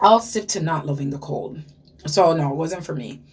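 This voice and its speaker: Here a woman with a Ghanaian accent speaks at a moderate pace in a very deep, low pitch, with ordinary pitch variation. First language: Ghanaian language. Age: 30s. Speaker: beauty vlogger. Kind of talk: casual story time vlog. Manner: animated.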